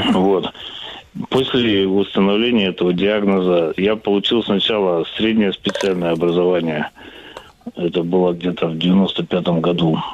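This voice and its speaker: Over noticeable background noise, a man with a very deep, low pitch talks at a fairly slow pace with fairly even intonation and long, frequent pauses. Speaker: caller. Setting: phone call.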